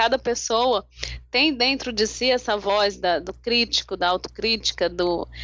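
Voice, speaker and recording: Speaking at a fairly slow pace, a woman uses vocal fry, her fairly high pitch moving with ordinary variation. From Brazil, São Paulo. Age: 40s. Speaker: life coach and lawyer. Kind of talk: interview.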